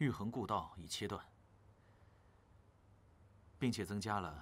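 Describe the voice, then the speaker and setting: A fairly low-pitched man at a fairly slow pace. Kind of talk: scripted drama dialogue, formal report. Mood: respectful, calm, formal. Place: hall.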